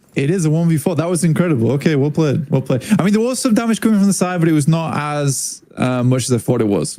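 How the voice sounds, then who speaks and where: Talking at a very fast pace with hardly any pauses, a man with a fairly high pitch uses lively intonation and very even loudness over noticeable background noise. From Britain. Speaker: esports caster. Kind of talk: casual watch party commentary. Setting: livestream watch party.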